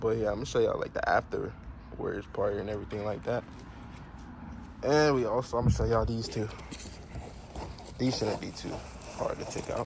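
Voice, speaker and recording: Noticeable background noise sits behind a man's voice. He talks at a fairly quick pace but leaves long, frequent pauses. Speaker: car enthusiast vlogger. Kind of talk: casual DIY vlog. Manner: fast; animated.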